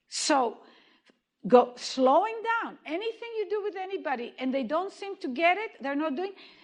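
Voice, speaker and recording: Extremely high in pitch, a woman speaks with a slight Israeli accent. Her pitch swings very widely, and her pace is moderate. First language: Hebrew. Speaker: movement therapy educator. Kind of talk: lecture.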